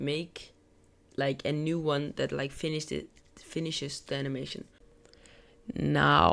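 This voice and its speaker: Someone with a non-native accent talks at a fairly slow pace. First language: not English. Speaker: gaming tutorial creator. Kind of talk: tutorial. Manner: casual, filler-heavy.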